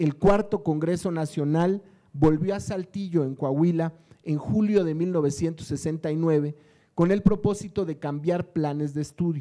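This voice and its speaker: Very slow delivery in a dark, mellow tone, fairly even intonation, and a quiet background. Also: man, high pitch for a man. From Mexico. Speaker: education official; panelist. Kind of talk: prepared speech read aloud. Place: hall. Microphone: podium.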